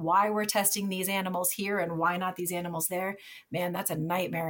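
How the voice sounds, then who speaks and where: A woman with an American accent talks at a fairly quick pace in a fairly low, somewhat breathy voice, her intonation fairly even. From Minnesota, US Upper Midwest. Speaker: wildlife veterinarian and state wildlife manager. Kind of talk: interview conversation.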